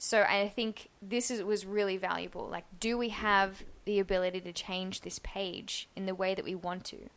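A woman's medium-pitched voice with an Australian accent, monotone and flat in intonation, at a moderate pace. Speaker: UX designer. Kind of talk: casual chat.

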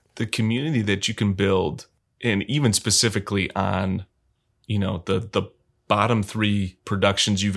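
Here a man with an American accent and a plain, everyday voice speaks at a moderate pace and fairly low pitch with fairly even intonation, on a very clean recording with a silent background. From Michigan, US Midwest. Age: 30s. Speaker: film director and cinematographer. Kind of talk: casual interview.

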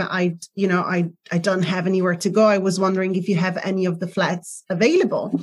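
Somewhat breathy, a woman speaks at a medium pitch and a fairly quick pace. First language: not English. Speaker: relationship and self-love coach. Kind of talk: interview. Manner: halting.

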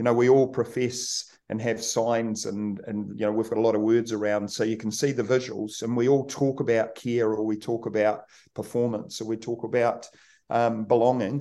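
Over a quiet background, a man with a New Zealand accent, a medium pitch and a dark, mellow tone speaks at a moderate pace with monotone, flat intonation. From New Zealand, rural Kaikoura. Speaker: rugby team manager. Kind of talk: podcast interview.

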